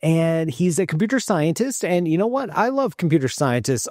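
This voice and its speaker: Against a quiet background, a man speaks at a moderate pace in a dry sound with no echo. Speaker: cosmologist host. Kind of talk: commentary. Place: home room. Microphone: studio mic.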